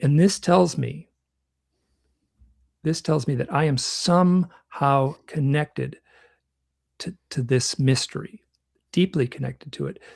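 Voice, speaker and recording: The speaker sounds somewhat breathy, with long, frequent pauses, ordinary pitch variation, and a dry, close sound with no echo. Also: man. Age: 60s. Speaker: UFO researcher and author. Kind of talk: conference talk. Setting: online conference. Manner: halting.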